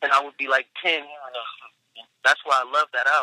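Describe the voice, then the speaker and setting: The speech moves at a fairly quick pace in a dry, close sound with no echo. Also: man. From Long Beach, California, US West Coast. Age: 30s. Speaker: rapper. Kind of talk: casual chat.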